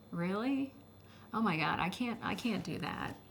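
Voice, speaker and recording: A soft-spoken woman talks with vocal fry. Audible room echo surrounds her voice. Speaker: former schoolteacher. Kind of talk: testimony.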